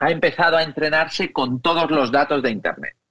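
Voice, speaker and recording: Speaking at a fairly quick pace, a man with an unremarkable speaking voice and fairly high pitch shows ordinary pitch variation in a dry, close sound with no echo. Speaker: technology expert. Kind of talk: interview.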